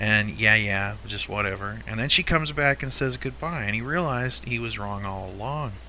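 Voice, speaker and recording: Over audible room echo, a man with a fairly low pitch speaks at a moderate pace, his pitch swinging very widely. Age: 50s. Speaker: podcast host. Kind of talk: casual chat.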